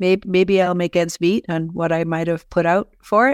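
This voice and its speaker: Dry, close sound with no echo carries a woman with an American accent speaking at a fairly quick pace and medium pitch. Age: 60s. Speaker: author and podcaster. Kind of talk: interview conversation. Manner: animated, laughs often, direct.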